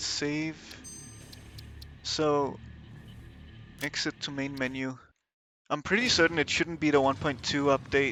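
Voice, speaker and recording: In a Danish accent, the speech moves at a fairly slow pace with long, frequent pauses. The intonation is fairly even, with music in the background. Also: man, fairly high pitch for a man. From Denmark. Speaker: gaming streamer. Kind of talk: live gameplay commentary. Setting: livestream. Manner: hesitant, many fillers.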